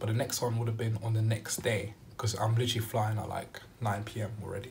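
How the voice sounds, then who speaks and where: There is light background noise as a man speaks at a fairly quick pace. His intonation is fairly even. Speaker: vlogger. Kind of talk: casual storytime vlog chat. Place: home room. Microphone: phone near.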